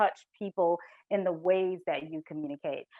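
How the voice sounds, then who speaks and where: In a Southern US accent, a woman speaks at medium pitch, her sound dry and close with no echo over a quiet background. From US South. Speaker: corporate culture consultant. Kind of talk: presentation.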